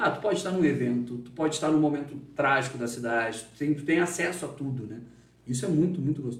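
Talking at a very fast pace, a man uses lively intonation and a somewhat breathy voice, with audible room echo around him. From Rio Grande do Sul, Brazil (Dom Pedrito, Capão da Canoa). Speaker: journalist. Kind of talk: interview. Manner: talkative.

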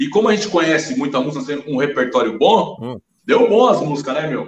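Very wide pitch swings mark this man's speech. He moves at a fairly quick pace. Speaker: podcast guest. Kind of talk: casual chat.

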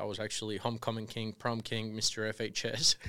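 In a very clean recording with a silent background, a man with a Spanish accent talks at a moderate pace and a medium pitch. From Colombia. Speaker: real estate developer. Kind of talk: interview.

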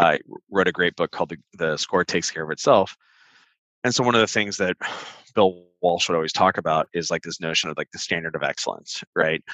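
Speaking in a Californian accent, a man has a very deep, low pitch and a bright, sharp tone, with ordinary pitch variation at a fairly quick pace. The sound is dry and close with no echo, against a quiet background. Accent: Californian American. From US West Coast, Orange County, California. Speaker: tech startup CEO. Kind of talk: podcast interview.

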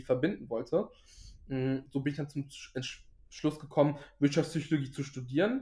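A man's fairly high, somewhat breathy voice with a dark, mellow tone and a fairly quick pace. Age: 20s. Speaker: finance social media creator. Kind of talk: casual interview.

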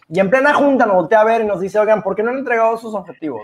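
A man talking at a very fast pace with a Mexican accent and ordinary pitch variation. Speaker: podcast co-host. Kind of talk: casual chat.

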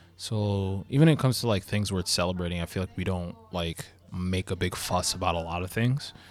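Fairly quick speech comes from a man with an American accent. His pitch is very deep and low, with ordinary variation. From US Northeast (Long Island, New York). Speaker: DJ and streamer. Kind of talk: casual chat.

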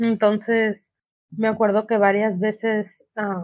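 A woman with a fairly high pitch. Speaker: podcast guest. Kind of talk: casual chat.

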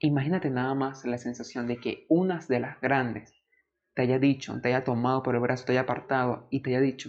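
A man speaks at a fairly quick pace. His intonation stays monotone and flat. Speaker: podcast host. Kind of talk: storytime narration, personal testimony. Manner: earnest, emotional, nostalgic; emphatic, repetitive, motivational.

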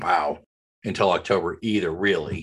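Against a quiet background, a man with a normal speaking voice and an American accent talks at a moderate pace and a fairly low pitch. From Oklahoma. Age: middle-aged. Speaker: podcast co-host. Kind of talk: casual chat.

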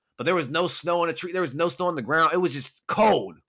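Speaking at a very fast pace, a man has a bright, sharp tone with vocal fry on a very clean recording with a silent background. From California. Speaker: podcast host. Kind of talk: casual chat.

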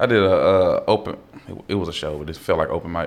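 A man talks at a very fast pace with an American accent and a fairly low pitch. Audible room echo surrounds his voice. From Fort Worth, Texas. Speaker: comedian. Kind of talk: casual chat.

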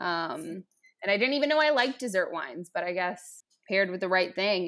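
With a normal speaking voice, a woman talks at a moderate pace in a medium pitch with lively intonation, on a very clean recording with a silent background. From Bosnia-Herzegovina, raised in US from age 5. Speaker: guest. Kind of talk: casual chat.

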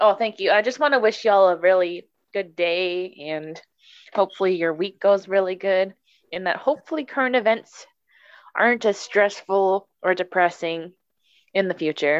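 Against a quiet background, a woman talks in a normal speaking voice at medium pitch and a moderate pace, with ordinary pitch variation. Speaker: podcast co-host. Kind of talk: casual chat.

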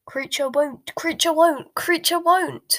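Loud and croaky, a woman performs a put-on character voice at an extremely high pitch. She delivers it at a fairly slow pace. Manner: croaking, loud.

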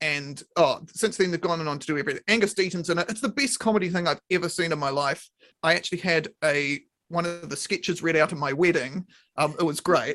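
A man with a New Zealand accent, high-pitched, bright and sharp in tone, at a fairly quick pace. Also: ordinary pitch variation. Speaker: podcast host. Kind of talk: casual chat. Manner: animated.

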